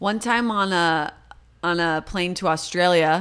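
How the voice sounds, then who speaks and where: A woman speaks in a Californian accent with a fairly low pitch. The background is quiet. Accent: Californian American English. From Los Angeles, San Fernando Valley. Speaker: comedic actor and improviser. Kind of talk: casual chat. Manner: animated.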